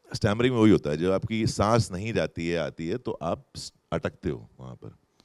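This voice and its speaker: This man's very deep, low voice carries vocal fry, with very wide pitch swings and big swings in loudness. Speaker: actor. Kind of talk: festival stage interview answer. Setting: live festival stage with audience. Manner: slow, deliberate.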